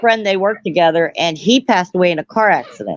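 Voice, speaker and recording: A woman with a normal speaking voice talks with fairly even intonation. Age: 50s. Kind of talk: casual chat.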